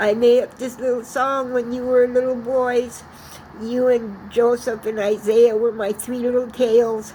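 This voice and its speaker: A woman speaks at a fairly slow pace in a shaky voice with monotone, flat intonation. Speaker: vlogger sharing personal message. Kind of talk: personal video message. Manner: halting.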